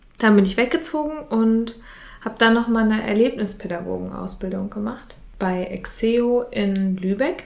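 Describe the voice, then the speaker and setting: Noticeable background noise accompanies a woman speaking at a moderate pace. Her voice is fairly high, with ordinary pitch variation. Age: 20s. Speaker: youth participation facilitator. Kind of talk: casual interview. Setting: in an office.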